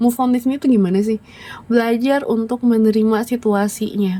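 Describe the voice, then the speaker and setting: A woman talks at an average pace against clearly present background noise. Her pitch sits fairly high and varies in a normal way. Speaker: tarot reader. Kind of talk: tarot reading monologue. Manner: casual, conversational.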